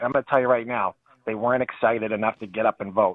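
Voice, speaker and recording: A man is speaking here. He has a Boston accent. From New Hampshire, New England. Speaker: radio call-in caller. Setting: phone.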